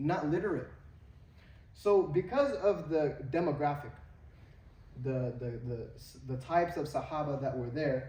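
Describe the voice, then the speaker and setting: A man with an American accent speaks at a fairly slow pace with long, frequent pauses, his somewhat breathy voice fairly high in pitch with ordinary pitch variation and a dark, mellow tone, and audible room echo around him. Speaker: Islamic teacher. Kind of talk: lecture. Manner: halting with fillers.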